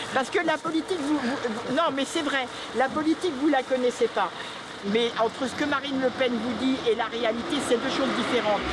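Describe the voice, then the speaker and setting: Noticeable background noise sits behind a woman whose high-pitched voice carries an animated tone. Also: ordinary pitch variation, moderate pace. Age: 60s. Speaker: retired shoe industry worker, small shopkeeper. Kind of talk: street interview.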